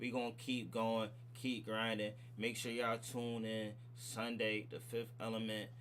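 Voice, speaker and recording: A man talks at a fairly slow pace in a medium pitch. There is audible room echo. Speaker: livestream reaction host. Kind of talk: livestream sign-off chat. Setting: livestream. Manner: animated.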